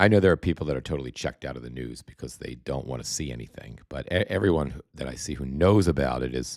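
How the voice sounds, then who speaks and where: A man with a very deep, low voice talks at a very fast pace, his intonation lively, his loudness swinging widely, and vocal fry running through it. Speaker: political commentary livestreamer. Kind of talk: live stream commentary reading viewer comments. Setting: livestream from home. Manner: halting, many repetitions; soft-spoken, talking quietly.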